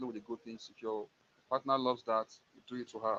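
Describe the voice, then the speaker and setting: Speaking in a monotone, flat intonation at a moderate pace, a man has a Nigerian accent. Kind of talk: live stream talk show. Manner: halting.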